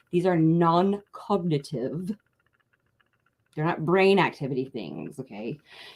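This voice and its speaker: Lively in intonation yet very slow, a woman speaks at a fairly low pitch with long, frequent pauses. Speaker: political activist. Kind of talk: livestream commentary. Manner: hesitant with fillers.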